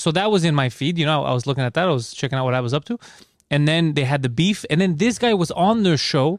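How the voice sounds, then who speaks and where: Very fast, lively speech with a Greek accent. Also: man, fairly high pitch for a man. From Greece. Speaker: comedian. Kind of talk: casual chat.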